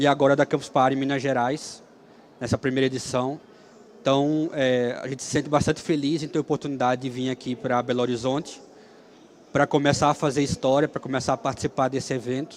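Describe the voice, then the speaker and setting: Quick-paced and fairly high in pitch, a man talks in a monotone, flat intonation. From Brazil, Alagoas (Maceió). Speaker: software engineer and free software speaker. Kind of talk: conference talk. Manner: hesitant, with fillers.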